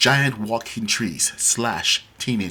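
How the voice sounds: A natural reading voice carries the text. Nothing else marks it.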